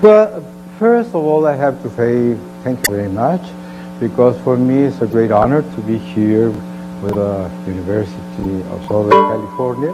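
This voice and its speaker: A man with a Mexican accent at a moderate pace, amid noticeable background noise and audible room echo. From Mexico. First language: Spanish. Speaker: television producer and academic. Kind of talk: lecture. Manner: halting.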